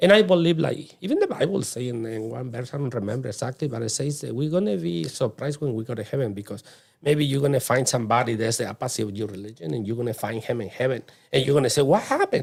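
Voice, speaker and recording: A medium-pitched man at a very fast pace with lively intonation, in a very clean recording with a silent background. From Mexico. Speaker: immigrant guest. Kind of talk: casual interview chat.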